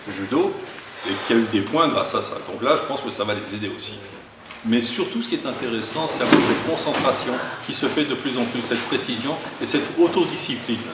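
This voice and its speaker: With lively intonation and a medium pitch, a man talks fairly quickly amid audible room echo and noticeable background noise. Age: 60s. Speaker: aikido instructor. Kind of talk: martial arts instruction; interview.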